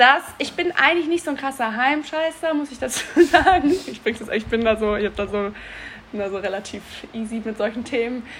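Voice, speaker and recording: This woman talks at a fairly quick pace in a high pitch. Her loudness swings widely. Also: lively intonation. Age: 30s. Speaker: podcast co-host. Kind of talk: casual chat. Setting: in person at co-host's home.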